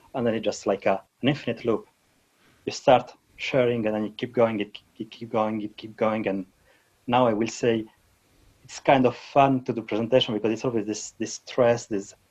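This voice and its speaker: A man with a non-native accent speaks at a medium pitch in a monotone, flat way. He leaves long, frequent pauses, and his loudness swings a lot. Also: moderate pace. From Switzerland. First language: not English. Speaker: database technology speaker. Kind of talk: interview. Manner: halting.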